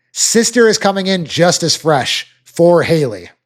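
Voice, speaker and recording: A high-pitched man with a Minnesotan accent and ordinary pitch variation, on a very clean recording with a silent background. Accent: Minnesota. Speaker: rodeo analyst. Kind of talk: sports preview commentary.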